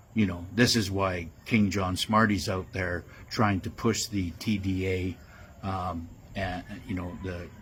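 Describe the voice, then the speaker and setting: The man's voice is very deep and low. He speaks at a fairly slow pace, in a monotone, flat delivery. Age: 70s. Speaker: conspiracy commentator. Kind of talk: monologue. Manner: halting, many fillers.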